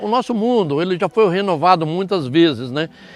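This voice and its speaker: A man with a high pitch speaks at a moderate pace while music plays behind him. The sound is dry and close, with no echo. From Brazil, northern Paraná. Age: 70s. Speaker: farm owner. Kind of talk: interview. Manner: halting.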